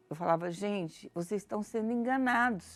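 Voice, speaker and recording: Recorded very cleanly with a silent background, a woman's voice moves through very wide pitch swings. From Brazil, Campinas, São Paulo. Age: 60s. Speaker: church member giving testimony. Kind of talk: testimony.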